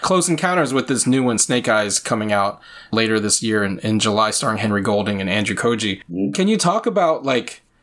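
A man with an American accent and very wide pitch swings, on a very clean recording with a silent background. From rural Virginia, US South. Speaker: podcast host. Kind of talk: casual interview.

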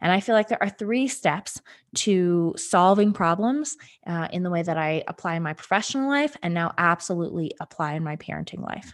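Over a very clean recording with a silent background, a woman with a fairly low pitch speaks at a fairly quick pace with lively intonation. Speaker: podcast host, parent. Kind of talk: solo podcast monologue.

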